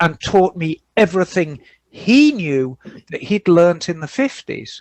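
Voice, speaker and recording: A high-pitched man at a fairly slow pace with lively intonation. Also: dry, close sound with no echo. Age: 60s. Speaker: motorcycle mechanic and podcast co-host. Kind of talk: casual chat. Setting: garage.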